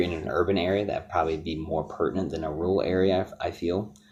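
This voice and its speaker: A man speaks with a Michigan accent, his pitch very deep and low. His somewhat breathy voice moves at a fairly quick pace with ordinary pitch variation. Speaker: product reviewer. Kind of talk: product review. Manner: hesitant with many fillers.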